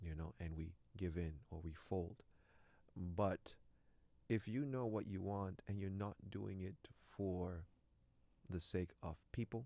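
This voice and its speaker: With a Canadian accent, a man speaks very slowly in a very deep, low pitch, with ordinary pitch variation and long, frequent pauses. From Canada, Toronto (French-speaking family). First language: French. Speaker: actor. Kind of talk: interview.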